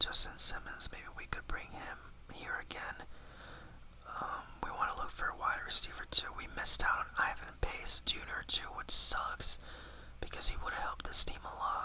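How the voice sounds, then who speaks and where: A man whispers and mumbles, with big swings in loudness. Noticeable background noise runs beneath him. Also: moderate pace. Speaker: ASMR gaming YouTuber. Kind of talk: casual gaming commentary to camera. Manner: whispered, mumbling, casual.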